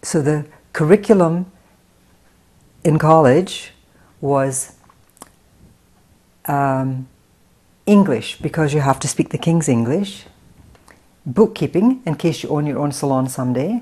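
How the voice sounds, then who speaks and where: A woman's very deep, low, dark and mellow voice with an American accent, fairly slow with long, frequent pauses and lively intonation. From Scotland (Paisley, near Glasgow). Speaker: hair stylist and salon owner, film writer. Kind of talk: interview. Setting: in her salon.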